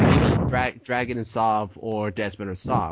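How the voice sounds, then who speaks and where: With an unremarkable speaking voice, a man speaks at medium pitch and with fairly even intonation. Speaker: podcast co-host and e-fed commentator. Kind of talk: casual chat. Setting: online call. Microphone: unstable connection.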